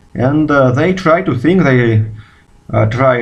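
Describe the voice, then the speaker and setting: With a Russian accent, a man talks at a fairly slow pace amid audible room echo. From Russia, Moscow. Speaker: physicist. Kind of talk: video response monologue. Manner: halting, many fillers.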